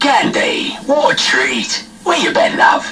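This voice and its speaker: Over clear background noise, a man puts on a character voice. He speaks at a fairly slow pace. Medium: machinima. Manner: smug, clipped.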